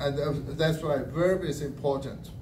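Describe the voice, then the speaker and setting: A man with a Chinese accent, fairly high in pitch, in a room with audible echo. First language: Mandarin Chinese. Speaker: language evaluator at a speaking club. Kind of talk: speech evaluation.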